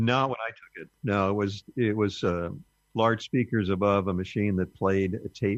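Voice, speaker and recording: With a Californian accent, a man talks at a moderate pace in a fairly low voice with fairly even intonation, recorded dry and close with no echo. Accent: General American (Californian). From US West, Southern California (Burbank). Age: 70s. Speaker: ham radio educator, interview guest. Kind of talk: interview. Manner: halting, with fillers.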